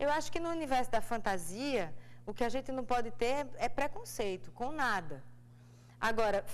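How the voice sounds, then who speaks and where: A woman talks at a fairly quick pace in a fairly high pitch. Her intonation is lively, with vocal fry. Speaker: actress. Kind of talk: TV interview. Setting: TV studio.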